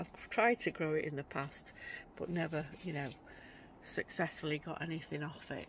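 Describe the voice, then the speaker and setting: Delivered at a moderate pace, the speech has a dry sound with no echo and light background noise. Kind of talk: casual vlog chat. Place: garden. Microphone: phone near.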